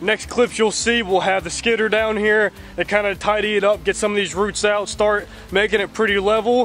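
Faint background noise sits behind a man with a high pitch and a fairly bright tone. He talks at a moderate pace. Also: fairly even intonation.

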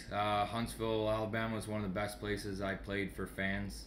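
A man with a Canadian accent, fairly low in pitch, at a moderate pace in a monotone, flat intonation, over light background noise. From Sault Ste. Marie, Ontario, Canada. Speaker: junior hockey goalie and goalie instructor. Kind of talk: casual radio interview chat. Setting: radio studio. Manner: easygoing, laughing, jokey. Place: home room. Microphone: webcam.

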